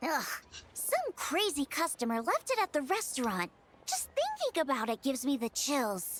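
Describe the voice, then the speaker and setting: This put-on character voice is high in pitch and swings very widely. It moves at a moderate pace. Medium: short film. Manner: excitable.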